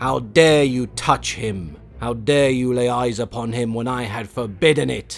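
A man growls in a put-on character voice with a furious tone, at medium pitch with ordinary pitch variation. His pace is moderate, and music plays in the background. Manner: growling, furious, imperious.

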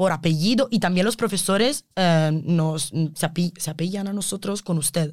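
A woman with an Italian accent talks at a fairly slow pace, hardly pausing at all. Her pitch is fairly low, with ordinary variation. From Italy. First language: Italian (speaking Spanish). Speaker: environmental engineering student. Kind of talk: interview. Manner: halting.

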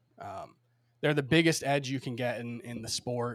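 With an American accent, a man talks in an ordinary speaking voice at medium pitch and with fairly even intonation. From Miami, Florida. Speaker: fantasy sports analyst. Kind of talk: casual chat.

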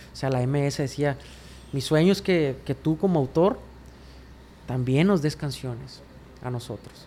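A man talks at a moderate pace in an unremarkable speaking voice. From Mexico, Sinaloa. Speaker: songwriter and singer. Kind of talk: casual interview chat. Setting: his apartment studio.

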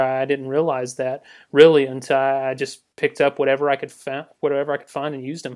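Against a quiet background, a man with a Southern US accent talks at a fairly quick pace in a medium pitch with monotone, flat intonation. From US South, Georgia. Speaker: graphic designer. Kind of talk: casual interview chat.

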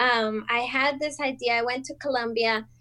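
A high-pitched woman's voice in a Spanish accent. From Colombia (Bogota). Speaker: small business owner. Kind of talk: casual interview chat.

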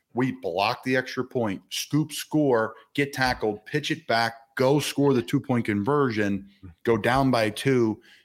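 With an American accent, a man talks at a fairly slow pace in an ordinary speaking voice, medium in pitch with ordinary pitch variation. The recording is very clean, with a silent background. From Philadelphia area. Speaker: NFL player. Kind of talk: casual interview.

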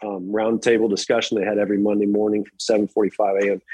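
With an American accent, a man talks at a moderate pace and fairly low pitch in a plain, everyday voice. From Virginia, US (just west of Charlottesville). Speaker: college tennis head coach. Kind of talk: interview.

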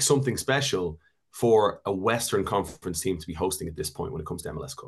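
A man races along at a very fast pace, somewhat breathy, his pitch swinging very widely. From Canada. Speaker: soccer broadcaster and analyst. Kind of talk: casual chat, sports analysis.

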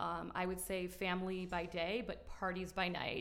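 A woman talks at a medium pitch with vocal fry. Audible room echo surrounds her voice. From Miami. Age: 30s. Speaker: social media influencer. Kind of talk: casual chat. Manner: animated.

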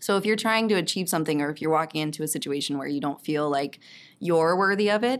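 This woman has a plain, everyday voice with an American accent, a fairly low pitch and ordinary pitch variation. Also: very clean recording, silent background. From Texas. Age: 30s. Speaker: violinist and actress. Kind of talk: casual interview chat.

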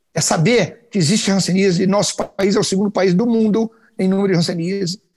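In a dry, close sound with no echo, a man talks at a fairly quick pace with a high pitch and fairly even intonation. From Brazil, Rondônia (Porto Velho). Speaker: orthopedic surgeon. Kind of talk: interview.

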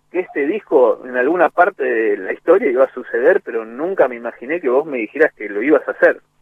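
A man talking at a fairly quick pace in an Argentine accent. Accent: Rioplatense Argentine Spanish. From Argentina, Greater Buenos Aires (Lanús, Monte Grande). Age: 40s. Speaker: music producer and percussionist. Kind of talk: radio interview.

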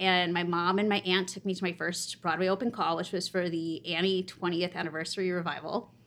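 A woman with a normal speaking voice talks at a moderate pace and a medium pitch. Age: 30s. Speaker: performer and concert series creator. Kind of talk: casual interview.

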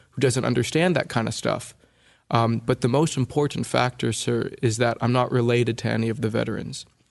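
At a fairly quick pace, a man with an American accent and vocal fry talks at a medium pitch against a quiet background. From California, US. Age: 20s. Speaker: oral historian interviewing war veterans. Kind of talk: interview conversation.

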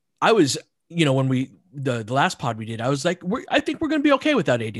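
A fairly high-pitched man at a very fast pace with ordinary pitch variation, dry and close with no echo, in a very clean recording over a silent background. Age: 40s. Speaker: basketball analyst. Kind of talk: casual chat.

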